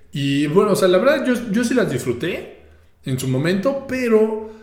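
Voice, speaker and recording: This man speaks with a Mexican accent and very wide pitch swings. Audible room echo surrounds his voice. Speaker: podcast host. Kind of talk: solo podcast monologue. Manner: casual, repetitive hesitations.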